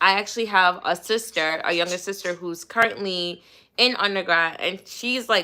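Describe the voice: At a moderate pace, a woman speaks with a fairly low pitch, a bright, sharp tone, and ordinary pitch variation.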